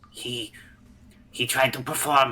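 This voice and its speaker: A man puts on a character voice and talks at a moderate speed. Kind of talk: strained put-on voice. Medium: actual play. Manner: grandiose, halting.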